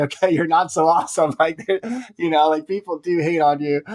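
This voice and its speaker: Moving at a fairly brisk rate, a man keeps his intonation fairly even. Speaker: personal finance blogger. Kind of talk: interview. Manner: fast.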